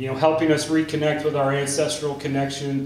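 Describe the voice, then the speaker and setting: A man speaks in a monotone with flat intonation, and audible room echo surrounds his voice. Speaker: panelist. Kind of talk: panel talk. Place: stage.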